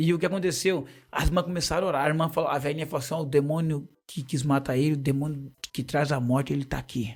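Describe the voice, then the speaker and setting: Over a very clean recording with a silent background, a somewhat breathy voice moves at a very fast pace with fairly even intonation. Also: man, fairly high pitch for a man. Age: 40s. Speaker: missionary and church deacon. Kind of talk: testimony.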